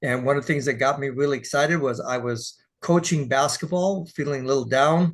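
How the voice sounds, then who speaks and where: A man with an American accent talks at a fairly quick pace, somewhat breathy, with fairly even intonation over a quiet background. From Texas. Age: 60s. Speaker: dance teacher and sales partner. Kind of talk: casual interview.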